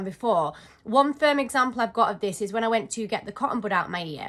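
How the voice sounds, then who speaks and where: Speaking very fast with a British accent, a woman uses a bright, sharp tone and very wide pitch swings. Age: 20s. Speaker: vlogger. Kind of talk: casual talk to camera.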